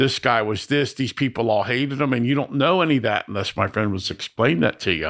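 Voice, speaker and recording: With an American accent, a man speaks at a very fast pace with lively intonation. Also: medium pitch for a man. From US South, Miami, Florida. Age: 60s. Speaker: recovering addict. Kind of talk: testimony.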